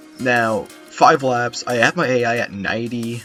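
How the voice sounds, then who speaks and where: Over music in the background, a man talks at a medium pitch. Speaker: gamer. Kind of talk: gameplay commentary. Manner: casual.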